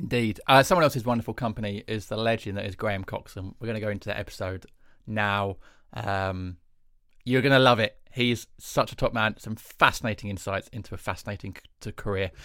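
A man with an English accent speaks at a fairly quick pace, with a fairly low pitch and a bright, sharp tone. His loudness swings a lot and his pitch varies in an ordinary way, on a very clean recording with a silent background. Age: 30s. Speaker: comedian and podcast co-host. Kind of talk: casual chat.

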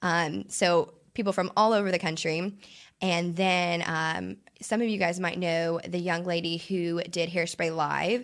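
A woman with an American accent speaks at a fairly slow pace in a plain, everyday voice, fairly low in pitch and fairly even in intonation. The recording is very clean with a silent background. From Indiana (Princeton). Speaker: professional cheerleader. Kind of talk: casual interview chat.

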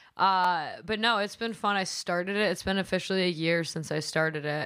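A woman with a strong Midwestern US accent and fairly even intonation, on a very clean recording with a silent background. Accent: heavy Midwestern US. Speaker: stand-up comedian and podcaster. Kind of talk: casual chat. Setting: studio. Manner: casual, profane.

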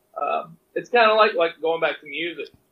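The speaker has a Mississippi accent. The pace is moderate. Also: man. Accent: US Southern (Mississippi). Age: 30s. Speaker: cowboy musician and poet. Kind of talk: casual chat.

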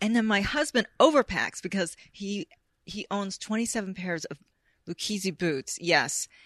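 A woman with a Californian accent speaks fairly slowly at medium pitch, animated and with lively intonation. Her loudness swings widely, and the sound is dry and close with no echo. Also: quiet background. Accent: General American, Californian. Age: 50s. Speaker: screenwriter and author. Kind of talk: casual interview chat.

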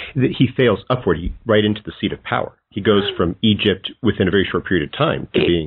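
A man has an unremarkable speaking voice with a fairly low pitch. He talks at a fairly quick pace with lively intonation and hardly any pauses. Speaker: podcast host. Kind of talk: interview questions.

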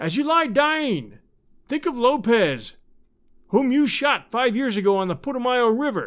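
A man's put-on character voice, extremely high in pitch with big pitch swings, a fairly bright tone and a fairly slow pace.

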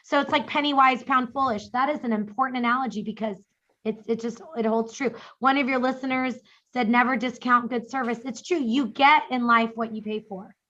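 Her voice is high, bright and sharp, with an American accent. The woman speaks at a fairly quick pace in an animated tone. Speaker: estate planning attorney. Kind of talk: interview and Q&A advice. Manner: fast, animated.

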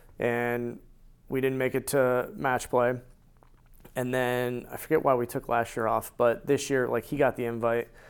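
At a moderate pace, a man with a normal speaking voice talks with fairly even intonation on a very clean recording with a silent background. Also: medium pitch for a man. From US Northeast, central Connecticut. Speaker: amateur golfer. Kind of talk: casual interview.

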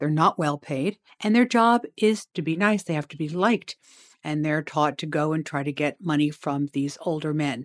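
A woman's very deep, low voice with lively intonation at a moderate pace, dry and close with no echo, on a very clean recording with a silent background. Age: 60s. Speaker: lawyer. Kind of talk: interview.

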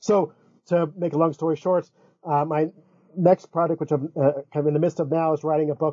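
A man with an American accent has a plain, everyday voice. He speaks at a fairly quick pace with fairly high pitch and fairly even intonation. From US South, Florida. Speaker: philosophy professor. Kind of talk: interview.

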